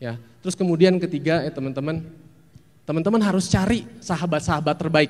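A man talks at a fairly quick pace. His pitch is fairly high, with ordinary pitch variation. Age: 40s. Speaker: actor. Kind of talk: talk to an audience giving advice. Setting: stage with audience. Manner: animated. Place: hall. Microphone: handheld.

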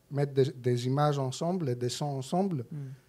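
A man speaks with a Greek accent. His medium-pitched voice has a dark, mellow tone. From Greece. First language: Greek (speaking French). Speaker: film editor. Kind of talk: interview. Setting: cinema stage with audience.

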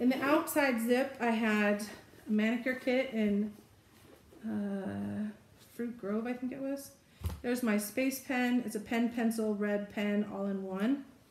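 Audible room echo surrounds a woman speaking at a fairly high pitch, with fairly even intonation and a fairly slow pace. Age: 50s. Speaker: lifestyle video creator. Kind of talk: casual show-and-tell tutorial. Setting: home video recording. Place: home room. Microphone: camera far.

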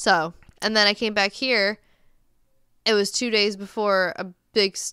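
A bright, sharp tone at a moderate pace, with long, frequent pauses, a quiet background and a dry sound with no echo. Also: woman. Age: 30s. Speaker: podcast co-host. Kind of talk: casual chat. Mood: relaxed, chatty. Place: home room. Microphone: studio mic.

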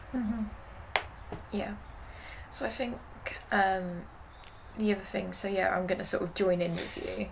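A woman in an English accent, with fairly even intonation, long, frequent pauses and noticeable background noise. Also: moderate pace. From England. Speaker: YouTuber. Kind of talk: casual chat. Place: home room.

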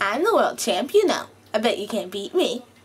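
This is a put-on character voice with a fairly high pitch. It moves along at a moderate pace. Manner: assertive, boastful.

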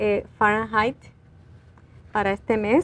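Her pace is very slow. The woman's fairly high pitch holds a fairly even intonation. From Puerto Rico. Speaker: librarian; guest. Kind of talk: community TV interview. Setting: TV studio. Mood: calm, informative. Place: studio. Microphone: lapel.

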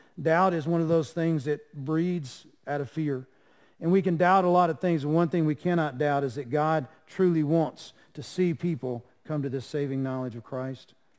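A man with a Southern US accent, fairly high pitch, ordinary pitch variation and a moderate pace, over a quiet background. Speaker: pastor. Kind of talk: sermon. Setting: church. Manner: animated; earnest. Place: church. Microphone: podium.

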